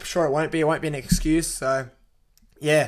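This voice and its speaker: A man with an Australian accent at a fairly high pitch and fairly quick pace, on a very clean recording with a silent background. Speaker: sports podcast host. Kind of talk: casual sports talk. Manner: animated.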